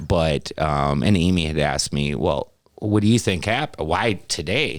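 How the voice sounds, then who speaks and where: Using lively intonation, a man talks at a fairly slow pace in a very deep, low pitch. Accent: American. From Wisconsin, US Midwest. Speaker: podcast co-host. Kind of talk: casual chat. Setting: studio.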